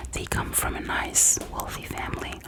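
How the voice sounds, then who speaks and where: Whispering in a gentle tone, a woman speaks at a fairly slow pace over noticeable background noise. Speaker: ASMR creator. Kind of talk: ASMR therapist roleplay, personal attention. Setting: close-mic studio with gum chewing mouth sounds. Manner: soft, gentle, slow.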